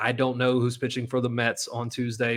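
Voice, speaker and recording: A man is speaking at medium pitch. He has an American accent. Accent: sounds like a redneck (rural American). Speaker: sports podcast host. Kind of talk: casual solo podcast commentary. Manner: animated.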